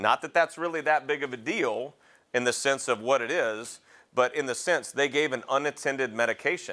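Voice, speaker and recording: Against a quiet background, a man talks at a moderate pace. His tone is bright and sharp, with ordinary pitch variation. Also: fairly high pitch for a man. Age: 40s. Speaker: paramedic educator; EMS lecturer. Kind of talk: lecture. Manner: halting. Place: classroom.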